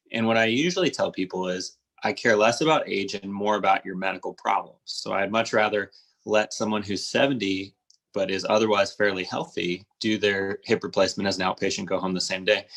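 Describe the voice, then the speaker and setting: Using a Midwestern accent, a man talks at a fairly quick pace with a fairly low pitch and ordinary pitch variation. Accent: general American (Midwest). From US Midwest, Cincinnati, Ohio. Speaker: orthopedic surgeon. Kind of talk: interview. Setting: live video stream.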